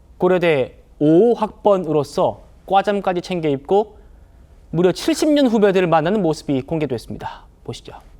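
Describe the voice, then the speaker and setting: A man speaks in a high pitch with lively intonation. His pace is moderate. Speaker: news show host. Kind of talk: TV news talk show presenting.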